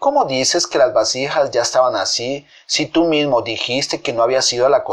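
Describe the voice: The voice is plain reading aloud. It is delivered as plain reading aloud throughout.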